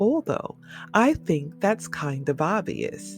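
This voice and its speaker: Music plays behind the voice. A woman speaks very slowly. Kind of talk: sleep story.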